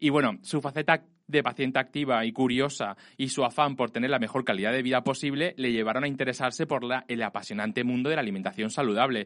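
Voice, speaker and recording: A man's normal speaking voice, medium in pitch with ordinary pitch variation, at a fairly quick pace against a quiet background. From Spain, Elche. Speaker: podcast host. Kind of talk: casual chat. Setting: studio.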